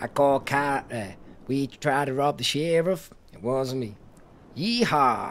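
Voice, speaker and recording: This is a put-on character voice with a drawl. The pace is fairly slow. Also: man, fairly high pitch for a man. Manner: playful, mock-western.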